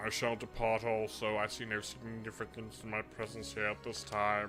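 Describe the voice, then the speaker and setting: Someone puts on a character voice at a moderate pace over clear background noise. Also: man, fairly low pitch for a man. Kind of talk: formal, stilted. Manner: formal, dryly detached.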